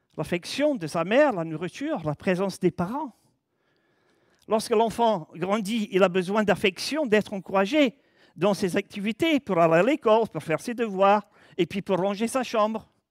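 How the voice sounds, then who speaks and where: A man speaks at a moderate pace with a high pitch and lively intonation, recorded dry and close with no echo, very clean against a silent background. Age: 70s. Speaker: preacher. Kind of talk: sermon. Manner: conversational.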